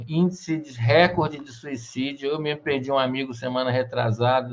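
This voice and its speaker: This man has a normal speaking voice with a fairly high pitch. He goes at a fairly slow pace, his intonation fairly even. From Rio de Janeiro, Brazil. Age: 50s. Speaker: interview host. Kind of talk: interview.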